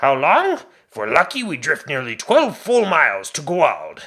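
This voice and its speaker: A man uses a put-on character voice pitched high. He speaks at a moderate pace. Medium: read story. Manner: blunt, darkly wry.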